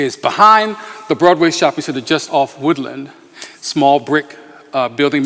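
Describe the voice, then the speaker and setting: A man talks at a very fast pace in a fairly high pitch. Noticeable background noise is present. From Philadelphia, US Northeast. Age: 60s. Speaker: pastor. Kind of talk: talk to a community meeting. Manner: halting, many fillers.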